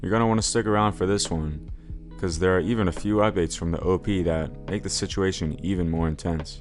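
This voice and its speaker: Over music in the background, a man with a very deep, low pitch talks at a fairly quick pace with lively intonation. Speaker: story narrator. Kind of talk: reddit story narration.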